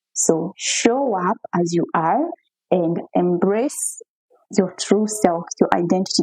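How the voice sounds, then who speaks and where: A woman at a medium pitch in a dry, close sound with no echo. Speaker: relationship coach. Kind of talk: monologue to camera answering viewer questions. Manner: loud, talkative.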